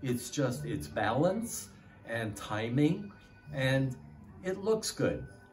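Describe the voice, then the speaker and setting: Amid noticeable background noise and audible room echo, a man with a medium pitch speaks very slowly with very wide pitch swings and long, frequent pauses. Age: 70s. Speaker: retired dentist, student of qigong. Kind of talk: testimony. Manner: halting.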